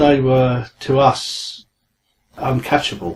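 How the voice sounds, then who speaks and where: A man's somewhat breathy voice. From southern England, Guildford, Surrey. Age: 60s. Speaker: angling journalist and carp historian. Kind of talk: interview. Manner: hesitant with fillers.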